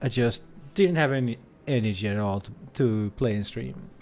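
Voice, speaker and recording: The pace is moderate. The speaker, a man, has a non-native accent. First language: not English. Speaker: gaming streamer. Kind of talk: live game stream commentary. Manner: casual, sometimes mumbling.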